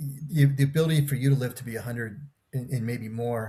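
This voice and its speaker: Somewhat breathy speech at a moderate pace with ordinary pitch variation. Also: man. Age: 60s. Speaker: podcast guest. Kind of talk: casual chat. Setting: video call.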